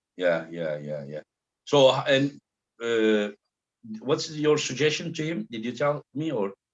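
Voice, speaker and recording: Speaking at a fairly slow pace in a Turkish accent, a man with a medium pitch makes very wide pitch swings and big swings in loudness, leaving long, frequent pauses, in a dry, close sound with no echo. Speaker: arm wrestling show host. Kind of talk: casual interview chat.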